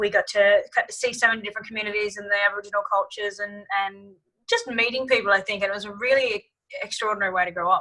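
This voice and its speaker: A woman with an Australian accent, a bright, sharp tone, big swings in loudness, fairly even intonation and a very fast pace. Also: fairly high pitch for a woman. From Australia (Tasmania-born, grew up travelling all over). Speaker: singer-songwriter. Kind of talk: interview conversation.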